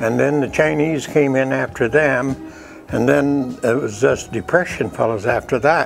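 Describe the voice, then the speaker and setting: Over music in the background, a man talks at a fairly slow pace with very even loudness, a medium pitch and ordinary pitch variation. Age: 80s+. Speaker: western painter. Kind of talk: interview answer. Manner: folksy, reminiscing.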